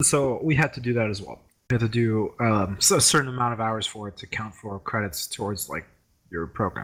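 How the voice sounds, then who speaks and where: This is a plain, everyday voice with ordinary pitch variation. Its loudness swings widely. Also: man, medium pitch for a man. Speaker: podcast co-host. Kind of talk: casual chat.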